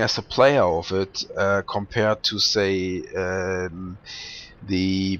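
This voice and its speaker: A man with a non-native accent speaks at a fairly low pitch. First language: not English. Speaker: gameplay commentator. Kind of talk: video game commentary. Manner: halting, many fillers.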